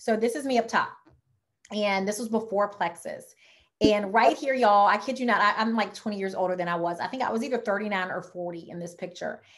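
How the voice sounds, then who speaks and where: With a Louisiana accent, a woman speaks at a fairly quick pace and a medium pitch, her tone animated and her pitch variation ordinary. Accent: Southern US (Louisiana). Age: 40s. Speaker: wellness product distributor and health coach. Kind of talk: sales presentation on video call. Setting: online video presentation with screen share. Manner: fast.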